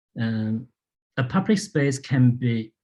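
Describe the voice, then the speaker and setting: A man speaks with a Chinese accent at a very slow pace. His intonation stays fairly even. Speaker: landscape architect and lecturer. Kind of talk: public lecture Q&A. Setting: public talk with audience. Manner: halting, many fillers.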